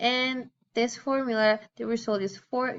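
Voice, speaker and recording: Her accent is Spanish. This woman talks with a fairly high pitch. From Venezuela. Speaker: student. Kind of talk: class presentation. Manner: halting.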